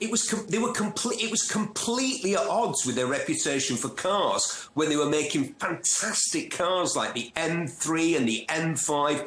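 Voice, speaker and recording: A man speaks at a moderate pace in a Manchester accent, his high pitch moving in very wide swings. Noticeable background noise and audible room echo fill the recording. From northern England, North Manchester. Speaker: motoring TV presenter and journalist. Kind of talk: interview. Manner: animated.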